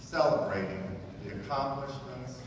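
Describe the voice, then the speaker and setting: A man's voice comes through strong room echo. Noticeable background noise sits behind him. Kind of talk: formal ceremony welcome speech. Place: hall. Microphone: pa.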